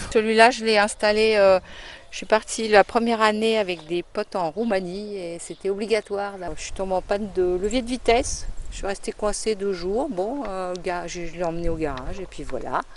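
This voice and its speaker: A woman speaks at a moderate pace and a medium pitch with ordinary variation. Her loudness swings a lot. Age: 60s. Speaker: retired van dweller. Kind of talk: casual interview. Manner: hesitant, many fillers.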